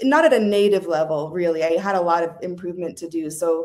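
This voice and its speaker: A woman with an American accent has an ordinary speaking voice. She talks at a moderate pace with ordinary pitch variation. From Southern California. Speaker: podcast guest. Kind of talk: casual interview chat. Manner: casual, many fillers.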